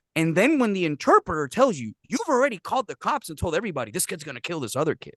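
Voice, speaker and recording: Talking at a very fast pace, a man uses a high pitch with very wide pitch swings. The sound is dry and close, with no echo. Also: big swings in loudness. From Puerto Rico. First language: Spanish. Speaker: professional interpreter and translator, army veteran. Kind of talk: podcast interview answer. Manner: casual, profane.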